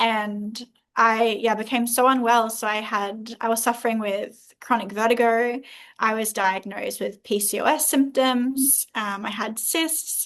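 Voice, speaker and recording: A woman speaks with an Australian accent at a fairly slow pace. Her pitch is fairly high and her intonation fairly even. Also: quiet background. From Australia, Southeast Queensland. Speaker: holistic health coach. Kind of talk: interview.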